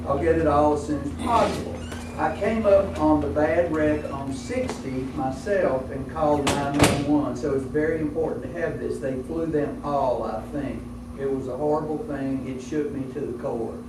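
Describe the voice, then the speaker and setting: A man with an American accent, fairly high pitch and lively intonation at a moderate pace, amid noticeable background noise and audible room echo. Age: 60s. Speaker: air ambulance membership salesman. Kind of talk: presentation to a business luncheon. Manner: conversational.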